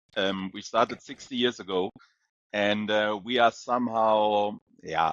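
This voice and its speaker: A man with a German accent speaks at a fairly slow pace, his fairly low pitch carried on fairly even intonation. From Germany. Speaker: company CEO. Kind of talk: interview. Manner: hesitant with many fillers.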